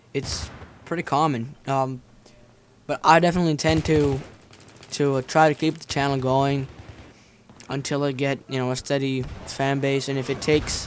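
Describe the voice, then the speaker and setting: Speaking in a monotone, flat intonation, a man with a fairly high pitch leaves long, frequent pauses. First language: Finnish. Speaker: gaming commentator. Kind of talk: gameplay commentary vlog. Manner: fast, stuttering.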